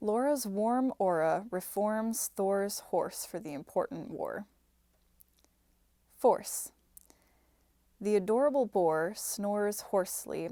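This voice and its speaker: A woman speaks at a very slow pace with ordinary pitch variation. Her tone is dark and mellow. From Minnesota, Midwestern US. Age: 20s. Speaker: software engineer and actor. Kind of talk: reading of word and sentence list.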